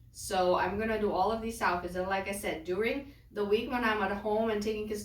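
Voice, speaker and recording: Fairly quick speech comes in a Lithuanian accent with fairly even intonation. Noticeable background noise is present. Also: woman. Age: 30s. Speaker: lifestyle vlogger. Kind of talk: casual vlog talk.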